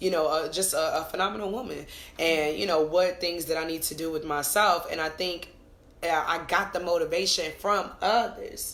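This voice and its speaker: With an animated tone and ordinary pitch variation, a woman with a fairly low-pitched voice talks at a moderate pace amid audible room echo. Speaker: podcast co-host and business owner. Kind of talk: casual chat. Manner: loud.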